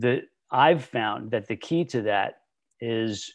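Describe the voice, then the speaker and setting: A loud voice comes through at a very slow pace against a quiet background. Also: man. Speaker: fitness podcast host. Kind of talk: casual interview chat with his niece. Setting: video call. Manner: enthusiastic, animated, trying to tone it down.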